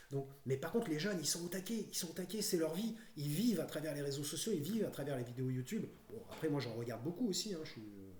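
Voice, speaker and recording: Audible room echo surrounds the recording. A man talks through it at a very fast pace. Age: 50s. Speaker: YouTuber. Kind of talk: casual monologue. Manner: halting, many fillers.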